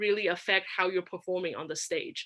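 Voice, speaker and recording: This woman speaks with a non-native accent and a bright, sharp tone. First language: not English. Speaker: public speaking contest finalist. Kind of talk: workshop talk. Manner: halting, many fillers and restarts.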